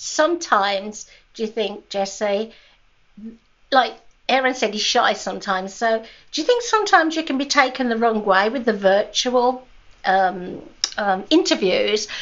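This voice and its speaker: Speaking with a British accent, a woman uses a fairly high pitch and lively intonation at a moderate pace, leaving long, frequent pauses. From Britain. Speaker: podcast co-host. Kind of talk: casual chat.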